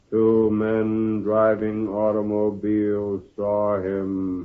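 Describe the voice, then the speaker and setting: A man's put-on character voice, fairly low-pitched, flat and monotone, at a very slow pace. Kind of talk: 1940s radio acting. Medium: old radio play.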